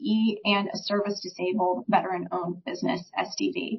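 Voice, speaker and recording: A woman with an ordinary speaking voice talks fairly quickly at a medium pitch, using ordinary pitch variation. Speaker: small business advisor. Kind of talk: presentation.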